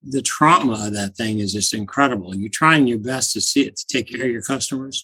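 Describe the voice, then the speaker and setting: A man with an ordinary speaking voice talks at a fairly quick pace with hardly any pauses, his medium pitch showing ordinary variation. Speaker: small IT business owner. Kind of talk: interview recollection.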